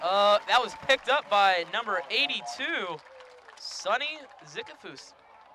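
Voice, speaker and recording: Over crowd noise, a raised, projected voice moves at a fairly slow pace with very wide pitch swings. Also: man, high pitch for a man. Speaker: student play-by-play announcer. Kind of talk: live commentary. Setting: press box. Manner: loud.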